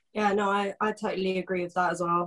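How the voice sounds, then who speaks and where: A woman with a southern English accent talks at a fairly quick pace. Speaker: football fan guest. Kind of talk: casual chat.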